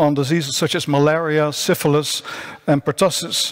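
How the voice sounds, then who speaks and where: A fairly high-pitched man with a Dutch accent against a quiet background. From Netherlands. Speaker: science journalist, panel moderator. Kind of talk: panel moderation. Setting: conference stage with remote speakers. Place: stage. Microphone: podium.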